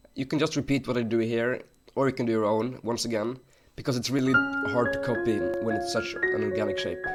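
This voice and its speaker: An enthusiastic voice with ordinary pitch variation speaks over music in the background. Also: man. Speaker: Minecraft builder and tutorial maker. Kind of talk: tutorial narration. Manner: casual, enthusiastic.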